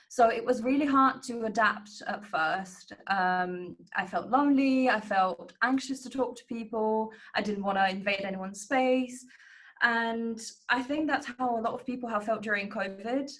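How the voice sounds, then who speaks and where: At a moderate pace, a woman talks with a fairly high pitch and ordinary pitch variation. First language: not English. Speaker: student researcher. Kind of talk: panel discussion.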